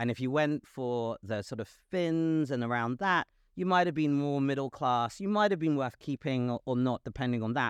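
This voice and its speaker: A man with a London accent speaks at a medium pitch against a quiet background. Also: dry, close sound with no echo. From London, England. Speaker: podcast host. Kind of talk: interview conversation. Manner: halting, many fillers.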